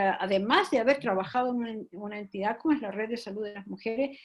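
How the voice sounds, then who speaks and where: Her intonation lively, a woman is speaking. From Chile. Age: old. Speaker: feminist activist. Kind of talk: panel discussion. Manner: halting.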